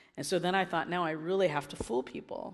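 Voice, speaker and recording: Speaking with an American accent, a woman uses a medium pitch and fairly even intonation at a fairly quick pace. Noticeable background noise runs beneath her. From US Midwest, Illinois. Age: 50s. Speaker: missionary. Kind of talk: sermon. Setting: church stage.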